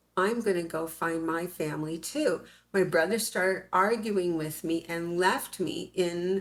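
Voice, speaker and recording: With an American accent, a woman speaks in a normal speaking voice at a fairly slow pace, with a fairly low pitch and ordinary pitch variation. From US West (California desert). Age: 60s. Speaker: interviewee, claimed alien hybrid. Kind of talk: interview, personal story.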